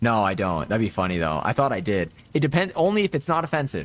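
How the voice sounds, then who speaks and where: At a very fast pace, a man speaks at a medium pitch with vocal fry. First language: Spanish. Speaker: game streamer. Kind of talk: casual live stream chat. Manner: casual, filler-heavy.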